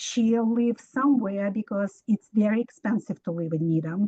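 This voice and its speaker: Fairly high in pitch, a woman speaks in a dark, mellow tone that is somewhat breathy. She talks at a fairly slow pace with ordinary pitch variation, in a dry, close sound with no echo. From immigrant to the US. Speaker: resident asking a question. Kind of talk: public Q&A question. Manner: halting.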